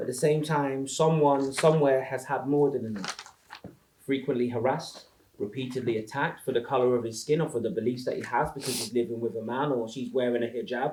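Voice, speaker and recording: A man speaks at a very fast pace and medium pitch with fairly even intonation, and there is noticeable background noise. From England, Northampton. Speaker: spoken word poet. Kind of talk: spoken word performance. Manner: rhythmic.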